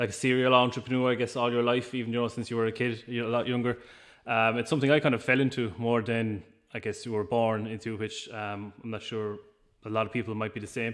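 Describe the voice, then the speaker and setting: Over a quiet background, a man with an Irish accent speaks at a very fast pace with a medium pitch and monotone, flat intonation. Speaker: business owner. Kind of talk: interview. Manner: hesitant, many fillers.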